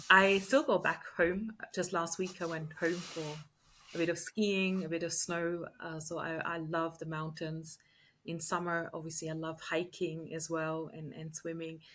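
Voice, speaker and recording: A woman in an Austrian accent at a fairly slow pace, with a fairly low pitch, monotone, flat intonation, a bright, sharp tone and big swings in loudness. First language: German. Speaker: leadership coach and entrepreneur. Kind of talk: podcast interview.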